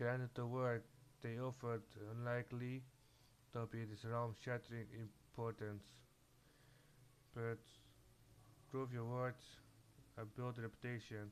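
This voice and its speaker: A man with a non-native accent, medium pitch, a fairly slow pace, long and frequent pauses, and a flat, monotone delivery. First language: not English. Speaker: gamer. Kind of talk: reading game dialogue aloud.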